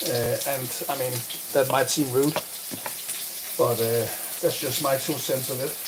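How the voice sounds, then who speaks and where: With noticeable background noise, a man of medium pitch speaks at a moderate pace with a Danish accent. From Denmark. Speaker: streamer and gaming coach. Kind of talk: live stream chat. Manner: halting.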